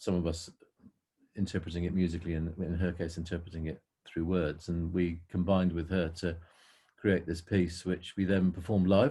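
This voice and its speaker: Somewhat breathy, the man's very deep, low voice has a dark, mellow tone. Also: moderate pace, very clean recording, silent background. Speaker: indie pop musician. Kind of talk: casual interview.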